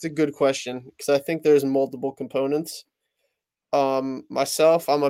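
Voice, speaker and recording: A man with a New Jersey accent speaks at a fairly high pitch for a man, his intonation monotone and flat. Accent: New Jersey American. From New Jersey, US. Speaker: sports card dealer. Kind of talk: casual chat.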